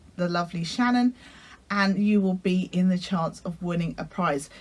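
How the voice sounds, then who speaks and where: A woman speaks with a British accent. Her pitch sits in the medium range. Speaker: sewing vlogger. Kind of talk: casual vlog talk. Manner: hesitant, many fillers.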